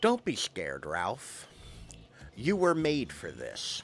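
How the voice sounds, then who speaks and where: Putting on a fairly high-pitched character voice, a man speaks at a fairly slow pace. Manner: spooky, eerie, reassuring.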